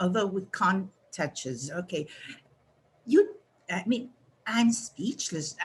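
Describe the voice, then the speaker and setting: With a Spanish accent, the somewhat breathy speaker talks at a very slow pace with lively intonation and long, frequent pauses. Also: woman, medium pitch for a woman. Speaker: retired university English teacher. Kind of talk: casual remarks in online meeting. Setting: video call. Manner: halting.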